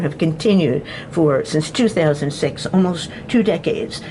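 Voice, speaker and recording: Noticeable background noise sits under a woman's lively intonation. She keeps a moderate pace. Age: 70s. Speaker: channel owner, self-described harassment target. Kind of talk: video monologue.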